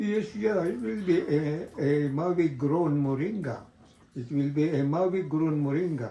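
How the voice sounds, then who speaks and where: A man's fairly high-pitched, fairly slow speech with ordinary pitch variation and audible room echo. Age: 90s. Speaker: moringa farmer. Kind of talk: interview. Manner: halting.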